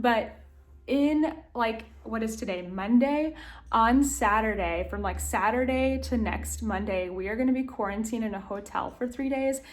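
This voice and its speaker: With an American accent, a woman talks at a moderate pace in a fairly high, somewhat breathy voice. Her pitch varies in an ordinary way, and audible room echo surrounds her. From US South, Tennessee. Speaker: lifestyle vlogger. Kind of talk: casual vlog talk to camera. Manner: animated.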